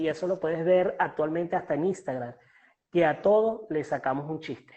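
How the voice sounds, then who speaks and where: A man speaks with a Venezuelan accent. His pace is moderate and his pitch variation ordinary. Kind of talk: interview answer. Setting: online call.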